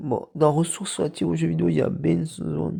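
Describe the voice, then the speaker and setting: Using very wide pitch swings, a man speaks in a dark, mellow tone with vocal fry. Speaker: YouTuber presenting actors and video games. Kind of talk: casual video commentary. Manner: halting, many repetitions and fillers.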